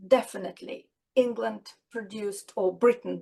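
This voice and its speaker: Speaking with a non-native accent, a woman talks at a fairly slow pace. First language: not English. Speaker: children's author and doctor. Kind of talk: interview. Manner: halting.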